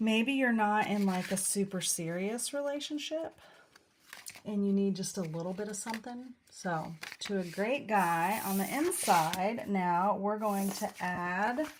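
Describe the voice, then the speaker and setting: A woman mumbles quietly at a fairly slow pace, with medium pitch and ordinary pitch variation. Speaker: card-making demonstrator. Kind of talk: craft tutorial livestream. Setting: live video stream. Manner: mumbling.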